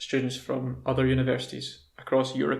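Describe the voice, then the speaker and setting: A man speaks with a Scottish accent at a medium pitch. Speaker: English teacher. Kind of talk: casual talk to camera, language lesson.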